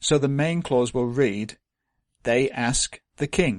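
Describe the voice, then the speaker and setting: Speaking at a very slow pace, a man shows ordinary pitch variation in a dry, close sound with no echo. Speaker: language teacher. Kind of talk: tutorial. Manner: clear, methodical explanation.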